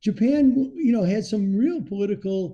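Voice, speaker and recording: With an American accent, a man with a high pitch and a dark, mellow tone speaks at a moderate pace with lively intonation. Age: 70s. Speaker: market commentator. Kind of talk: casual chat.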